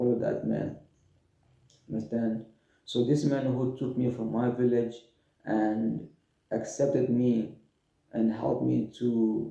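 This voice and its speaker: Audible room echo surrounds a man's dark, mellow voice with vocal fry, pitched medium and delivered at a fairly slow pace with long, frequent pauses. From Democratic Republic of the Congo. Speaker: refugee storyteller. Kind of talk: personal testimony. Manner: halting, repeats words.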